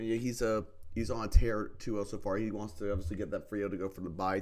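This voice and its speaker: A man's fairly low voice at a very fast pace, with monotone, flat intonation. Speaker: streamer commentating competitive Pokemon draft games. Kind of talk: live game commentary. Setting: live stream. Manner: casual, hesitant with many fillers.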